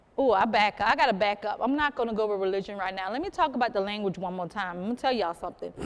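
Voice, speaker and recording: Fairly high-pitched woman with an American accent and lively intonation. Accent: Southern US, Gullah Geechee. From South Carolina. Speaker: storyteller and sweetgrass basket weaver. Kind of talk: live storytelling talk to an audience. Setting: museum program before a live audience. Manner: lively, conversational.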